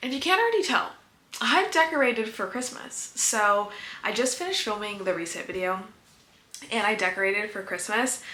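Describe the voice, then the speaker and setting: The speech has lively intonation and a fairly quick pace, with audible room echo and noticeable background noise. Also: woman, fairly high pitch for a woman. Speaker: small business owner and vlogger. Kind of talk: vlog monologue. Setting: home office. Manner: fast.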